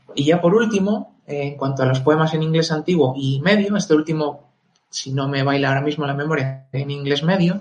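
Music in the background behind a man's fairly high voice, fairly quick in pace with ordinary pitch variation. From northern Spain. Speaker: Tolkien enthusiast speaker. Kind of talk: casual discussion.

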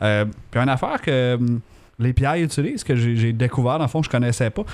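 On a very clean recording with a silent background, a man with an unremarkable speaking voice talks fairly quickly at a very even loudness. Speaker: mobile developer, podcast co-host. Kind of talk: casual chat.

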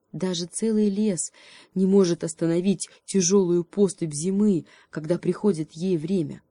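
The speaker is reading aloud in a natural voice, with fairly even intonation.

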